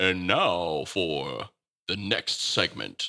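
A man's put-on character voice, raspy and very deep and low, in a dry, close sound with no echo. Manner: preachy, sermonizing.

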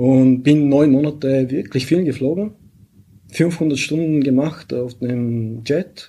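Very slowly, a man speaks in a dark, mellow tone with fairly high pitch and ordinary pitch variation. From Bulgaria. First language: Bulgarian (speaking German). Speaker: pilot and software founder. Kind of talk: interview.

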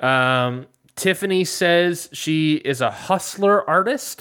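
A man's voice with very wide pitch swings in a very clean recording with a silent background. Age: 20s. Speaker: podcast host. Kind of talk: casual chat. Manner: laughs often.

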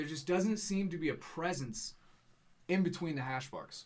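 A man with a somewhat breathy voice speaks at a fairly quick pace, his intonation lively. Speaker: sports podcast co-host. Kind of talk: casual sports analysis chat.

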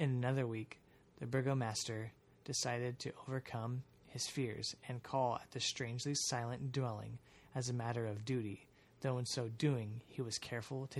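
A man speaks with a somewhat breathy voice at a moderate pace. His intonation is monotone and flat. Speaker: podcast host. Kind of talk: reading aloud an archaic gothic horror story, audiobook-style narration.

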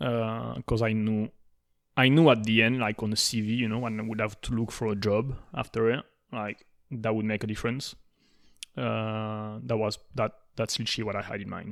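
A man with a French accent at a moderate pace, his intonation fairly even. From southern France. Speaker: podcast co-host appearing as guest. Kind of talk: casual interview chat. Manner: frequent hesitations and laughs.

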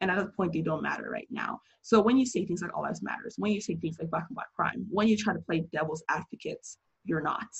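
A woman with an American accent talking at a very fast pace with vocal fry, ordinary pitch variation and hardly any pauses. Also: medium pitch for a woman. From United States. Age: 20s. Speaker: friend of the host. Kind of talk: casual discussion. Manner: articulate.

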